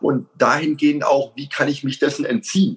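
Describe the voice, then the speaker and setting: A man's somewhat breathy, fairly high voice at a moderate pace, with very wide pitch swings. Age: 50s. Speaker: self-defense instructor and coach. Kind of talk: casual interview.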